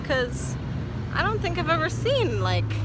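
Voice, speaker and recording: Here a woman speaks over loud background noise. The sound is dry with no echo. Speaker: travel vlogger. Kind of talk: casual vlog chat. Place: street. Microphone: phone near.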